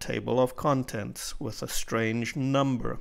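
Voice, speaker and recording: Recorded very cleanly against a silent background, a man speaks at a medium pitch and a fairly slow pace. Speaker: self-published author. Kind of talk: software tutorial narration. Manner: slow, clear.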